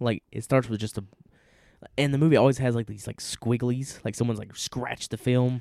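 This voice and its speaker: Delivered at a fairly quick pace with fairly even intonation, the speech has a Southern US accent and a dry, close sound with no echo. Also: man, medium pitch for a man. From US South. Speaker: podcast co-host. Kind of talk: casual chat.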